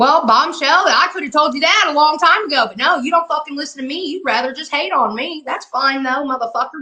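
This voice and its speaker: Raised and projected, a woman's high, bright, sharp voice comes at a fairly quick pace with an animated tone, ordinary pitch variation and big swings in loudness. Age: 50s. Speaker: livestreamer. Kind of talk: live stream commentary.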